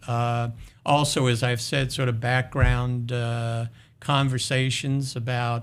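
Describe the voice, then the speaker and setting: A man with an American accent speaks at medium pitch and a fairly slow pace. His intonation is monotone and flat. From US Northeast, New York City. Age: 70s. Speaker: university president. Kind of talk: interview.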